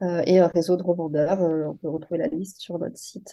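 Her pitch sits in the middle range as she talks at an unhurried, moderate speed. This woman's intonation remains fairly even throughout. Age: 30s. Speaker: entrepreneur. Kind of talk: interview. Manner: hesitant, many fillers.

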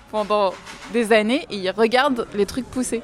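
Against noticeable background noise, a woman with a fairly high pitch and ordinary pitch variation speaks at a fairly slow pace. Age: 20s. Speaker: book lover guest. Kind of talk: casual chat.

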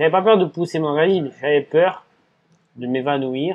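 Here is a man speaking. His pitch varies in an ordinary way. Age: 30s. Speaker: ultra-endurance cyclist and restaurant owner. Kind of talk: casual interview. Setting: in his restaurant.

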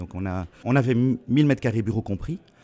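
Speaking at a moderate pace, a man has a dark, mellow tone at a medium pitch. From Belgium. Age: 50s. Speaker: digital printing business owner. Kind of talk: interview. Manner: halting.

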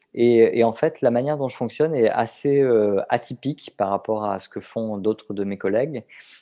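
A man speaks in a plain, everyday voice at medium pitch, with ordinary pitch variation, a moderate pace and hardly any pauses. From southern France. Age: 40s. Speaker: novelist. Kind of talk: interview. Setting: remote call.

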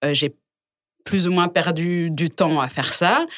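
This is a woman speaking. Her pitch sits fairly low for a woman. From Congo. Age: young. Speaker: home textile brand founder. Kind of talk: casual chat. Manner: halting.

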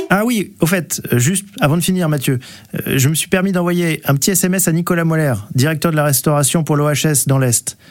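Here a man has an unremarkable speaking voice at a fairly high pitch. He talks at a moderate pace with ordinary pitch variation. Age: 40s. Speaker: company operations director. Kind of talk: scripted radio guest talk.

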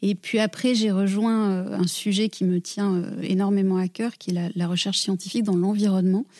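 Barely pausing, a woman keeps a moderate pace with monotone, flat intonation. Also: medium pitch for a woman, very even loudness. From southwest France (Gers). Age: 40s. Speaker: environmental foundation director. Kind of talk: interview. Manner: hesitant, frequent repetitions.

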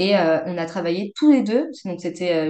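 A woman's voice at a medium pitch and a moderate pace. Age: 20s. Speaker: mother sharing birth story. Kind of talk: testimony. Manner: halting, many hesitations.

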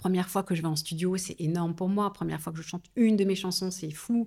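On a very clean recording with a silent background, a woman at medium pitch talks at a fairly quick pace in a somewhat breathy voice. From Paris suburbs, France. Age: 40s. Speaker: singer. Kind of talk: interview. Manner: halting, with many repetitions.

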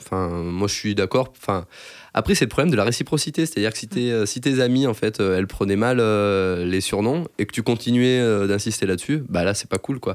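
On a very clean recording with a silent background, a man speaks at a moderate pace and fairly low pitch with ordinary pitch variation. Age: 30s. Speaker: computer science researcher. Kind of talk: interview testimony. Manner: halting, many fillers.

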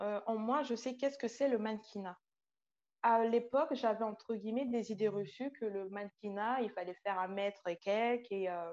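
Against a quiet background, a woman with a normal speaking voice talks at a moderate pace and a fairly high pitch. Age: 20s. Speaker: childcare assistant and aspiring model. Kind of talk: testimony.

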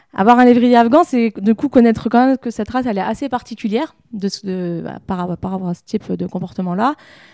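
A woman speaks at a fairly quick pace in a fairly high pitch with a dark, mellow tone and ordinary pitch variation, recorded very cleanly against a silent background with a dry, close sound and no echo. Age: 30s. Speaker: pet shop owner and dog groomer. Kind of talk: casual interview.

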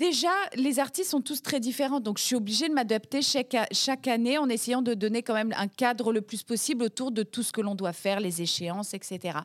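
Delivery is animated, with lively intonation and hardly any pauses. The pace stays moderate. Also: woman, fairly high pitch for a woman. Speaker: head of national Eurovision delegation and TV executive. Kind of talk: interview.

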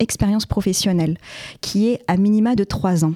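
The woman's tone is dark and mellow, at a medium pitch with ordinary pitch variation. The sound is dry and close with no echo. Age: 30s. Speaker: trainee chartered accountant and entrepreneur. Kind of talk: podcast interview.

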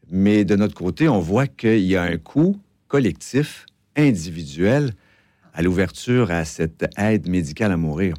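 In a very clean recording with a silent background, a man with a Quebec accent speaks at a fairly slow pace, his very deep, low voice dark and mellow in tone, with lively intonation. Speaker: advocacy group director. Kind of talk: radio interview. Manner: hesitant, many fillers.

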